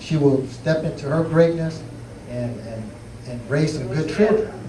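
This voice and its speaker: A man's fairly high voice with ordinary pitch variation, audible room echo, and noticeable background noise. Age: 40s. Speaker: author on relationship panel. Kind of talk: panel discussion. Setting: bookstore event with audience.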